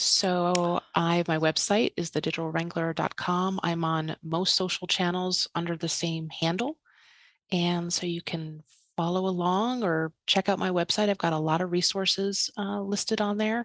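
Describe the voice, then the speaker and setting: This woman talks at a moderate pace with a New York accent, her fairly low pitch showing ordinary variation. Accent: New York area American. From New York area, US. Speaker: estate planning and digital organisation advisor. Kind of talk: podcast interview.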